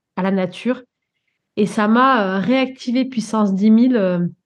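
Very slowly, a woman speaks at a fairly high pitch. Her intonation stays fairly even. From Guadeloupe. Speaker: coach and animal communicator. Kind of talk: interview.

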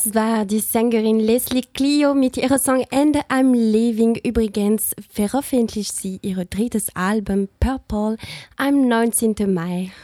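Speech comes at a very slow pace in a dark, mellow tone with ordinary pitch variation. The recording is very clean with a silent background and a dry, close sound with no echo. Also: woman, fairly high pitch for a woman. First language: not German (speaking German). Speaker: student radio host. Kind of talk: scripted radio magazine presenting. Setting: studio.

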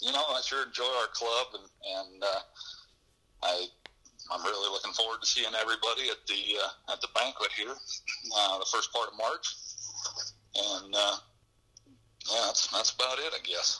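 A man speaks with an American accent at a moderate pace. His speech has long, frequent pauses. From western Nebraska. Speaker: telephone company worker, bowhunter. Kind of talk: interview.

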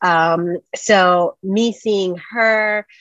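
This is a normal speaking voice with fairly even intonation. The sound is dry and close, with no echo. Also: woman. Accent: American. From New Jersey. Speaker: media producer and journalist. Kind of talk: interview.

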